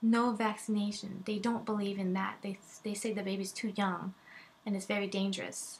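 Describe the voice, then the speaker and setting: A woman is speaking at a moderate pace. Her voice is somewhat breathy. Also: medium pitch for a woman. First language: not English. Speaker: vlogger, mother. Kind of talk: personal testimony vlog. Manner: animated; halting.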